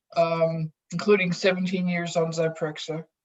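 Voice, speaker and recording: This woman's voice is somewhat breathy. Her pitch sits at a medium level. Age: 60s. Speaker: psychiatric drug withdrawal survivor. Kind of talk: testimony.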